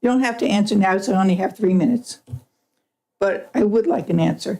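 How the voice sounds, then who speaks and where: The voice is somewhat breathy with a dark, mellow tone and ordinary pitch variation. It moves at a very fast pace with very even loudness. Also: woman, medium pitch for a woman. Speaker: public commenter at school board meeting. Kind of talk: public comment.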